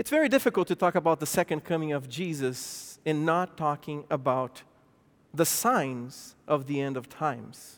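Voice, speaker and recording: Over a silent background in a very clean recording, a man with a non-native accent speaks at a fairly high pitch with ordinary pitch variation. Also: moderate pace. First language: not English. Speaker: pastor. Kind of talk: sermon. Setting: church.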